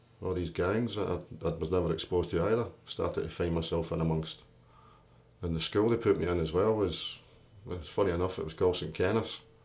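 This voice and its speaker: The man's pitch is very deep and low. His voice is somewhat breathy. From Scotland, Greenock (born in London). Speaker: union leader, boilermaker. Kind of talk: life story interview. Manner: animated storytelling.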